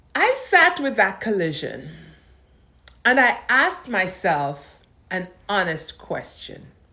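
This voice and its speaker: A woman talks very slowly, pausing often and at length. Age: 70s. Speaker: lifestyle vlogger on aging. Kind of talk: reflective monologue to camera. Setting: on camera. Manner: calm, measured.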